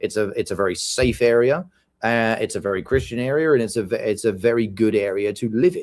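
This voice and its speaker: With a British accent, a man speaks at a very fast pace and ordinary pitch variation. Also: medium pitch for a man, very clean recording, silent background. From UK. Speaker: podcast co-host. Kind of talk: casual chat.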